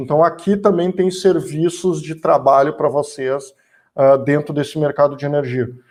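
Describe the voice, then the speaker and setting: A man with a fairly high pitch talks at a fairly slow pace in an ordinary speaking voice, using ordinary pitch variation. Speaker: energy sector speaker. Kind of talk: lecture.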